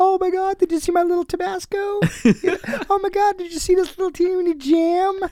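A man's put-on character voice, extremely high in pitch, fairly quick and with hardly any pauses. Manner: excited, gushing.

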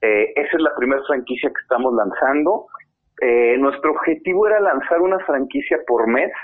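A man with a Mexican accent speaks at a moderate pace and fairly high pitch. His intonation is lively and his loudness very even. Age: 30s. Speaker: fintech CEO. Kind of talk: interview. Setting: at home.

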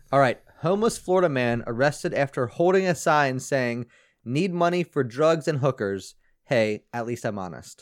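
An unremarkable speaking voice moves at a moderate pace with lively intonation. The sound is dry and close, with no echo. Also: man, fairly high pitch for a man. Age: 20s. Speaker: comedy podcast co-host. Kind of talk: casual chat.

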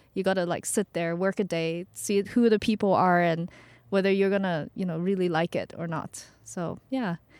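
In a normal speaking voice of medium pitch, a woman talks at a moderate pace with fairly even intonation, in a very clean recording with a silent background and a dry, close sound with no echo. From Vancouver, Canada (born in China, moved at twelve). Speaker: startup community co-founder. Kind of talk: podcast interview. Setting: parked van.

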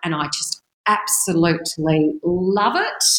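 Fairly low in pitch, a woman speaks with an Australian accent. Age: 50s. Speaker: real estate agency owner. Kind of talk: interview. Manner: animated.

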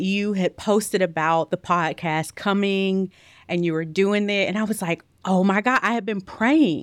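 A medium-pitched female voice at a fairly slow pace, with ordinary pitch variation, on a very clean recording against a silent background. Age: 30s. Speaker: entrepreneur and keynote speaker. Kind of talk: interview.

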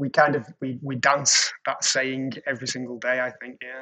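A man with a British accent speaks in a medium pitch. His tone is bright and sharp, his intonation monotone and flat. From England. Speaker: creative production executive. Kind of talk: casual chat.

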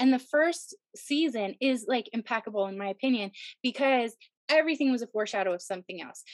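A woman talks at a very fast pace in a high pitch, her tone animated and bubbly. Her intonation is lively, and the sound is dry and close with no echo. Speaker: actor and director. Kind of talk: casual interview chat. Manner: animated, bubbly.

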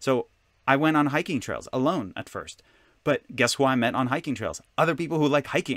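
Recorded very cleanly against a silent background, dry and close with no echo, a man with an Israeli accent speaks at a fairly quick pace in a fairly high pitch with ordinary pitch variation. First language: Hebrew. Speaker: author and spiritual teacher. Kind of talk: interview.

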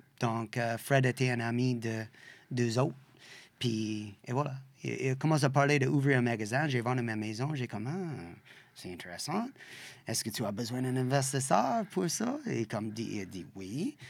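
On a very clean recording with a silent background, a speaker with an English accent talks at a fairly slow pace with ordinary pitch variation. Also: man, medium pitch for a man. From western Canada (Saskatchewan). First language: English (speaking French). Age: 50s. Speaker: bike shop owner. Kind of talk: interview. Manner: halting, searching for words.

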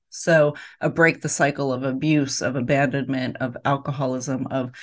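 A woman's voice with a very deep, low pitch. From US, inner city. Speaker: podcast host. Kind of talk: interview.

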